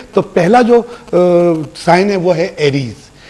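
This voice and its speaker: A man with a high pitch speaks with lively intonation. Noticeable background noise sits behind him. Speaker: astrologer and tarot reader. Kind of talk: weekly horoscope reading.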